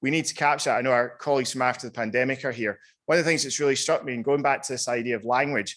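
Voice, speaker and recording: A man talks at a very fast pace with a Scottish accent, his pitch medium. His intonation stays fairly even against a quiet background. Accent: Scottish, noticeable. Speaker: panel speaker on climate justice. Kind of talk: panel talk.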